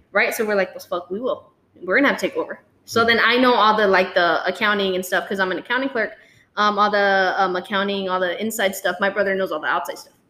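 Captured in a very clean recording with a silent background, a woman with a South Texas accent speaks very fast in a bright, sharp tone, her intonation fairly even. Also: medium pitch for a woman. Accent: South Texas Mexican-American English. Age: 20s. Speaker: small business owner. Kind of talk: casual chat.

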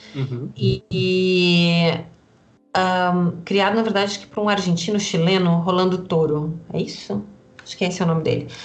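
A woman's fairly low voice at a moderate pace, fairly even in intonation, an unremarkable speaking voice. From Rio Grande do Sul, Brazil. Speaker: astrologer and magic teacher. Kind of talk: interview.

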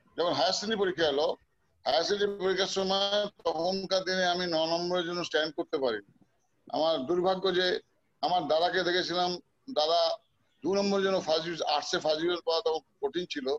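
A man speaks at a high pitch with fairly even intonation. His loudness stays very even. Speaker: former footballer. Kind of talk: interview.

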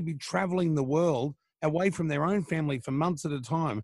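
At a fairly quick pace, a man speaks in an Australian accent in a very clean recording with a silent background. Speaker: radio host. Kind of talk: casual interview.

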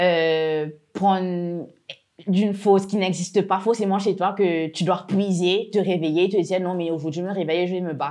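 With a dark, mellow tone and a medium pitch, a woman speaks at a moderate pace in a monotone, flat intonation. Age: 20s. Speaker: entrepreneur. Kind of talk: interview. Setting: workshop.

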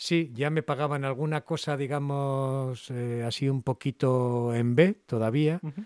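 With hardly any pauses, a man talks at a fairly slow pace in an ordinary speaking voice, fairly high in pitch with fairly even intonation, the sound dry and close with no echo in a very clean recording over a silent background. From Cantabria, Spain (Castro Urdiales). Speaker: voice actor. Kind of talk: interview.

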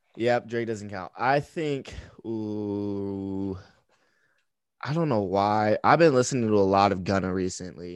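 In an American accent, a man with an ordinary speaking voice talks at a fairly slow pace and a fairly low pitch, with ordinary pitch variation against a quiet background. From Texas and Michigan. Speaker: social media bracket game creator. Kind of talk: casual chat.

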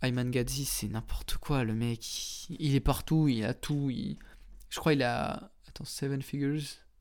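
A man talks at a very slow pace, captured in a very clean recording against a silent background. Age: 20s. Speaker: podcast host. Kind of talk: solo monologue. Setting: home studio, on camera. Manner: casual.

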